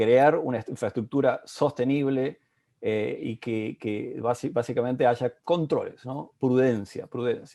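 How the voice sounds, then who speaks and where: Over a quiet background, a man speaks at medium pitch with a dark, mellow tone. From Argentina, Bolívar, Buenos Aires province. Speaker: panel moderator. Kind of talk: panel discussion. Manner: halting, many fillers.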